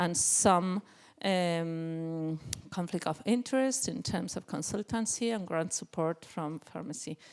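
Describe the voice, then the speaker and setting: Fairly slow speech in a Spanish accent, with lively intonation. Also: woman, fairly low pitch for a woman. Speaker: psychiatrist and researcher. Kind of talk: conference presentation. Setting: conference panel. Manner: halting, with many fillers.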